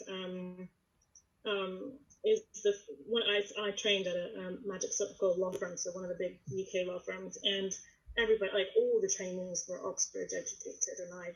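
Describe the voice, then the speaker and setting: At a fairly quick pace, a woman with an American accent speaks at a medium pitch in a somewhat breathy voice. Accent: American with slight British twang. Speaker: lawyer. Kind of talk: panel discussion.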